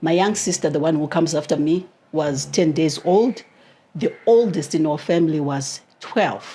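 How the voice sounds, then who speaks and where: Speaking at a fairly slow pace in a strong Zimbabwean accent, a woman has a dark, mellow tone, fairly low pitch, and ordinary pitch variation. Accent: heavy Zimbabwean. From Zimbabwe, Mutare. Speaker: author and etiquette coach. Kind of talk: interview.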